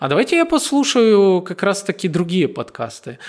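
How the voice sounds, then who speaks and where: A man's pitch swings very widely. His pace is fairly slow. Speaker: marketing podcast host. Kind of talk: casual chat. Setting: in person, non-standard recording location. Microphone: sound quality poor in places.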